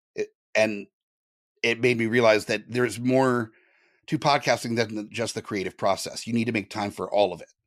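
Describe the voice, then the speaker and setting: A man with an American accent and a medium pitch speaks at a fairly quick pace with big swings in loudness. The recording is very clean, its background silent. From Southern California. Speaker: podcaster and podcast network leader. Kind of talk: interview.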